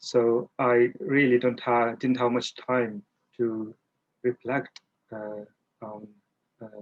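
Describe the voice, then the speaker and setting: The delivery is very slow, with a monotone, flat intonation. The sound is dry and close, with no echo. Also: man. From India, rural Maharashtra. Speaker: Buddhist practitioner, charity appeal director. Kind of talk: personal interview. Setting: video call. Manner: hesitant, many fillers.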